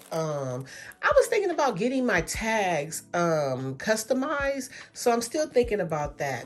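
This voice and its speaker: Animated in tone, a woman talks at a fairly slow pace with very wide pitch swings. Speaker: beauty and fashion vlogger. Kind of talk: unboxing haul video, casual talk to camera. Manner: animated, gushing.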